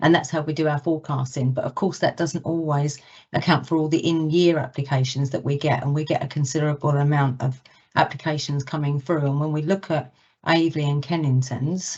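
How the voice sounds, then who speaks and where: A woman talks at a fairly quick pace in a very deep, low pitch. Her intonation is monotone and flat. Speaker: council education officer. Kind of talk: formal committee presentation. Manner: loud.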